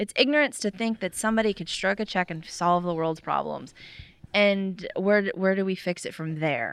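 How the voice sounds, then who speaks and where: A woman in an ordinary speaking voice with an American accent, medium pitch and moderate pace, over a quiet background. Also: ordinary pitch variation. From Florida. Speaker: restaurant owner. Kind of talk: casual interview.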